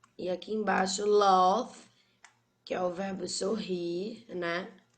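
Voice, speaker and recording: A woman speaks at a medium pitch in a monotone, flat intonation, with audible room echo around her. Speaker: English teacher. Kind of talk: online class lecture.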